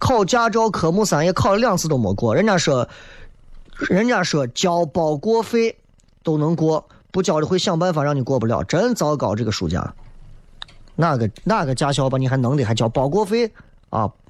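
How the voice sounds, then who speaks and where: Very wide pitch swings at a moderate pace, with long, frequent pauses and very even loudness. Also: man, fairly high pitch for a man. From Xi'an, Shaanxi. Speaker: radio talk show host. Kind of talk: live call-in radio talk show. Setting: radio studio. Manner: animated.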